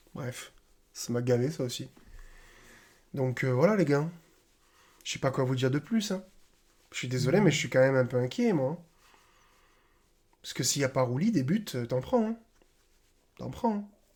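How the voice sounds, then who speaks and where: Soft-spoken and somewhat breathy, a man talks at medium pitch with lively intonation at a moderate pace, leaving long, frequent pauses. The recording is very clean with a silent background. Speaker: football YouTuber. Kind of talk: casual football match debrief. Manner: casual, hesitant with fillers.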